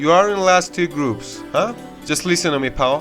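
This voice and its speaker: A man with a high-pitched voice and a non-native accent, lively intonation, and music in the background. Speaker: self-help YouTuber. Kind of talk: self-help voice-over narration.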